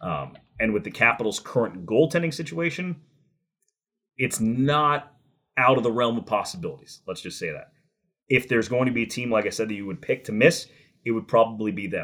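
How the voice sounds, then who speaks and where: A man with an American accent speaks in a plain, everyday voice at a medium pitch and a fairly quick pace, with lively intonation. His loudness swings widely, in a very clean recording with a silent background. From New Jersey. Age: 30s. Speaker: hockey play-by-play announcer. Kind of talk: interview.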